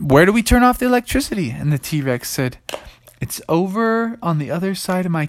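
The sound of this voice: The clip is read in an unforced reading voice.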